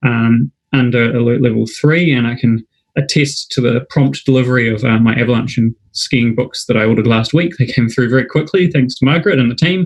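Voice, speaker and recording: A man's somewhat breathy voice in a New Zealand accent, medium in pitch with ordinary pitch variation, at a fairly quick pace and very even loudness. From New Zealand, Wellington. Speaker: club night host. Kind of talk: live webinar hosting. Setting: online live broadcast. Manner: hesitant, many fillers.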